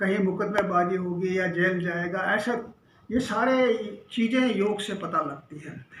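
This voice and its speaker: This man keeps his intonation fairly even, and noticeable background noise runs under it. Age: 70s. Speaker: astrologer and palmist. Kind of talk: educational astrology talk to camera.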